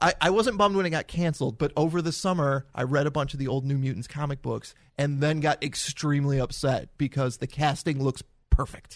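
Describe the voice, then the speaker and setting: Music plays in the background while a man speaks at a fairly high pitch. His pace is fairly quick, with ordinary pitch variation. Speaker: podcast host. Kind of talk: casual chat. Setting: studio.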